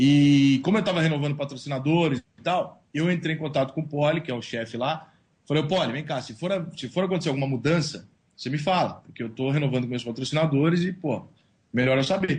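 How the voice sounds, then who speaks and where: In a São Paulo accent, a man talks at a fairly quick pace with a fairly high, somewhat breathy voice and ordinary pitch variation. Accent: paulista. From São Paulo, Brazil. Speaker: sports blogger and journalist. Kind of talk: interview. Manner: casual, slangy.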